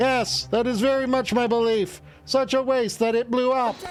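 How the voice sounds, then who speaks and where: Amid clear background noise, someone performs a put-on character voice at a moderate pace. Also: man, extremely high pitch for a man. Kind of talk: formal, stuffy, old-fashioned. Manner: pompous, earnest.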